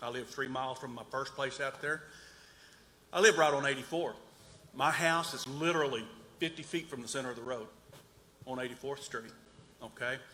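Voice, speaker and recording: Against noticeable background noise and audible room echo, a man of medium pitch speaks with ordinary pitch variation and long, frequent pauses. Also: fairly quick pace. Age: 60s. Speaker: resident speaking at town hall. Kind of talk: public comment at town hall. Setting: town hall meeting. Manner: halting.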